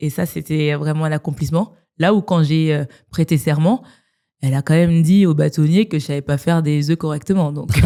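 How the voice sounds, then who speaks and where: A woman's very deep, low voice with a dark, mellow tone at a fairly quick pace. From France, Strasbourg, of Malian family. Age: 30s. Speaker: business lawyer. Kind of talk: interview podcast. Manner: casual, many hesitations.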